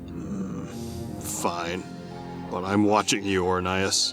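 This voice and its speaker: A put-on character voice at a very slow pace over loud music in the background. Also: man, very deep, low pitch for a man. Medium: audio drama.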